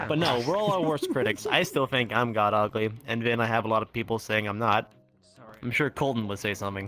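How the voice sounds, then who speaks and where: A man talking at a fairly quick pace, ordinary pitch variation, music playing in the background. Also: medium pitch for a man. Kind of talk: casual conversation.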